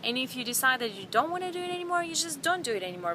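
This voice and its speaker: Lively in intonation and high in pitch, a woman's voice comes through noticeable background noise. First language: not English. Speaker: vlogger. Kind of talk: casual vlog. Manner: halting, many fillers and repeats.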